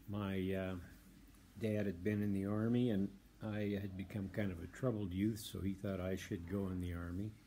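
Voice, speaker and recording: A man's fairly low-pitched voice, dark and mellow in tone, flat and monotone in intonation, at a moderate pace over light background noise. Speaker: war veteran. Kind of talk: testimony. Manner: halting. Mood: calm, reflective. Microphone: phone near.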